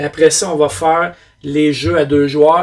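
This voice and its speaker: A man speaks with a Quebec accent at a fairly high pitch. His pace is fairly slow. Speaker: board game reviewer. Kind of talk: casual review monologue. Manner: hesitant fillers.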